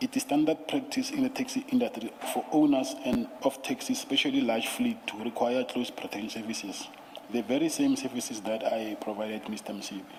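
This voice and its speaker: A soft-spoken man at a fairly quick pace, with noticeable background noise. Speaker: witness at commission of inquiry. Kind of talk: testimony. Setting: commission hearing room. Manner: reading statement aloud, halting. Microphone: too quiet, far from the mic.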